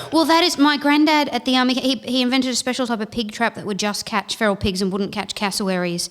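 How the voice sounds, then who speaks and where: Talking very fast with hardly any pauses, a woman uses a high pitch, lively intonation and an Australian accent. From North Queensland, Australia (Townsville). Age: young. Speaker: comedian. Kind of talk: casual chat.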